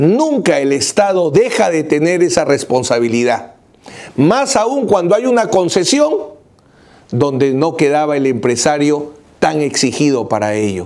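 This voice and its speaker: A man's fairly high voice with very wide pitch swings at a fairly slow pace. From Peru. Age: 50s. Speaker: lawyer. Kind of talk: video commentary. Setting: office. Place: office. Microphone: lapel.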